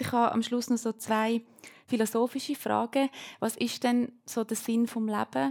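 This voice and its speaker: In a Uri accent, a woman talks at a fairly slow pace with a fairly high pitch and fairly even intonation, the sound dry and close with no echo. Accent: Uri Swiss German dialect. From Switzerland, canton of Uri. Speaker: student moderating a panel. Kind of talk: panel discussion moderation.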